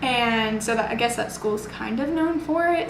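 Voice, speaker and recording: A woman talks at a moderate pace and fairly high pitch with a Texan accent. Audible room echo and noticeable background noise come through. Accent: Texan American. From Texas, Houston area. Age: 20s. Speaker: nursing student. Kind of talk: interview. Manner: casual, many fillers.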